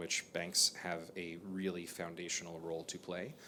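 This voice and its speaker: In an American accent, a man speaks with a very deep, low pitch and a bright, sharp tone, his delivery flat and monotone against audible room echo. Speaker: bank chief executive. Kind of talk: panel discussion. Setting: stage with audience.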